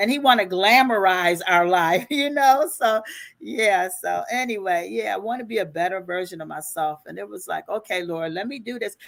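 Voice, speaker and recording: A woman's ordinary speaking voice at a medium pitch and moderate pace, with lively intonation and big swings in loudness. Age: 60s. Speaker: life and business coach. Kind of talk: interview.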